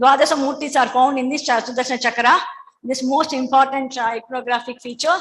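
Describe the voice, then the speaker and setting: A woman speaks very fast in a high, monotone voice with flat intonation. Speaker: academic presenter, historian. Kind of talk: conference presentation. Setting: convention centre session. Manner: halting.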